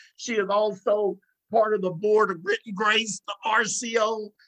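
A bright, sharp, raised and projected voice in a Southern US accent, at a fairly slow pace. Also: man. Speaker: radio host. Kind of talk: talk radio interview. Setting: radio studio.

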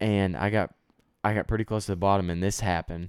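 On a very clean recording with a silent background, a man speaks at a very deep, low pitch with fairly even intonation. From Texas. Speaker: college student. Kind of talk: casual chat.

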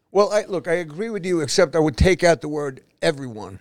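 A man speaks with a New York accent. His intonation is lively. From New York City (East Harlem, Manhattan). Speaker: retired police officer. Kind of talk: casual chat. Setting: studio.

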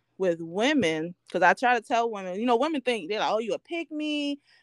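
Recorded very cleanly against a silent background, a woman speaks with lively intonation in a dry, close sound with no echo. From Baltimore, Maryland, US. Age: 30s. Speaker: stay-at-home mom, podcast guest. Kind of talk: casual interview chat.

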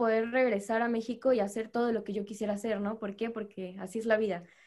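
A woman speaks with fairly even intonation in a very clean recording against a silent background. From Veracruz, Mexico. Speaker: law master's student, navy member. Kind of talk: casual panel chat.

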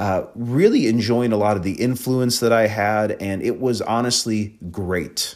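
A man with an unremarkable speaking voice talks in an American accent at a moderate pace, his fairly low pitch showing ordinary variation. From Wisconsin. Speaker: pastor and podcast host. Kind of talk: solo podcast talk with teaching. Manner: conversational with many fillers.

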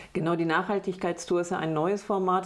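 A woman with a normal speaking voice talks at a fairly low pitch and with fairly even intonation. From Bad Lippspringe, East Westphalia, Germany. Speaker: politician, state parliament candidate. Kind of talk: interview.

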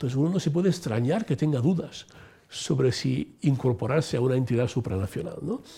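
Somewhat breathy and dark, mellow in tone, a man of medium pitch speaks at a fairly quick pace with lively intonation. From Italy (Rome). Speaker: former senior EU civil servant. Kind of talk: interview.

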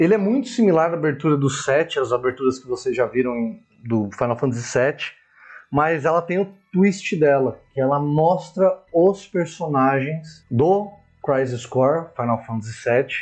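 A man with an ordinary speaking voice talks at a fairly slow pace, his fairly high pitch carrying lively intonation. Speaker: podcast co-host. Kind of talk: casual chat.

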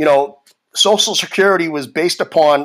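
Over a silent background on a very clean recording, a man uses an unremarkable speaking voice at a moderate pace with fairly even intonation. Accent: American. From Boston, Massachusetts. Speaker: podcast host, political commentator. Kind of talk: solo political commentary monologue. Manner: conversational, with fillers and repetitions.

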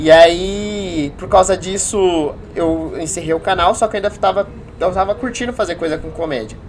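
A man talks at a high pitch. Noticeable background noise runs underneath. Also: ordinary pitch variation, moderate pace. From Rio Claro, São Paulo state, Brazil. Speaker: beginner stand-up comedian. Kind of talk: casual chat.

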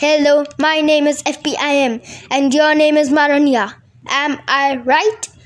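A woman does a robotic, put-on character voice at a high pitch. She goes at a fairly slow pace with long, frequent pauses.

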